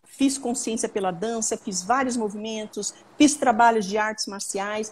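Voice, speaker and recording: This woman's voice is fairly high and somewhat breathy. Her pace is fairly slow and her intonation fairly even. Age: 60s. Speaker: trauma therapist. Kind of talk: live Q&A stream. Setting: live video stream.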